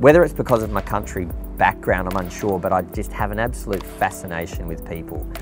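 Music plays in the background as the speech races along at a very fast pace. The delivery, with an Australian accent, has very wide pitch swings. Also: man, very deep, low pitch for a man. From South Australia. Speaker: real estate agent and auctioneer. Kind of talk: interview answer. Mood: warm, enthusiastic. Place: garden.

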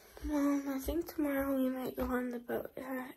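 Monotone, flat intonation at a moderate pace against noticeable background noise. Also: woman. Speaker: vlogger. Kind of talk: casual vlog chat and voiceover. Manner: voiceover parts.

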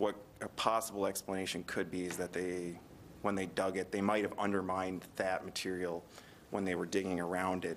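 A man speaks at a fairly quick pace in a very deep, low pitch with monotone, flat intonation over light background noise. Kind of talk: meeting answer. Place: hall. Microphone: podium.

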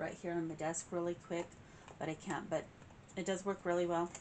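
Against noticeable background noise, a woman speaks at a fairly low pitch with fairly even intonation. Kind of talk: casual vlog chat. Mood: warm and cheerful. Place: home room. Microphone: camera far.

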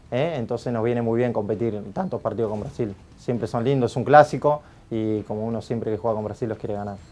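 A man with a dark, mellow tone speaks at a very fast pace with ordinary pitch variation. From Argentina. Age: 30s. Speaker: futsal coach; national futsal team coach. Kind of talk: interview answers. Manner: halting, many fillers. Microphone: lapel.

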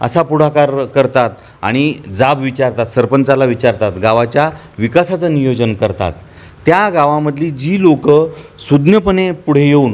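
A man's fairly high-pitched voice with lively intonation and very even loudness. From Marathwada, Hingoli district, Maharashtra; Maharashtra. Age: young. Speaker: village council activist. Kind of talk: interview. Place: home room. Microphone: lapel.

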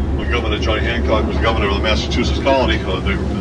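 Loud background noise sits behind a man's speech. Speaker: boat tour guide. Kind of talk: tour commentary. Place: boat. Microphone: pa.

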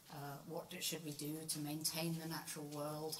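A woman's very deep, low voice at a moderate pace, monotone and flat in intonation, with noticeable background noise. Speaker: professor. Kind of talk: lecture. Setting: lecture hall with microphone.

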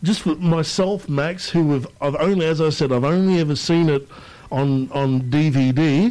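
A man with an Australian accent talks at a fairly slow pace in a fairly high pitch. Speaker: radio host. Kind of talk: radio interview.

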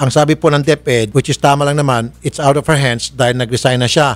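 Intonation stays fairly even. The man moves along at a fairly quick pace. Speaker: show host. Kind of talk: interview questioning. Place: studio. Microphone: studio mic.

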